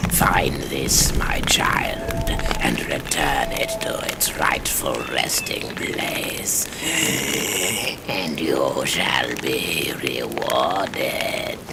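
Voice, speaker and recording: A man whispers in a put-on character voice at a very slow pace. Loud background noise runs behind him. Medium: machinima. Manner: archaic, cryptic, ominous.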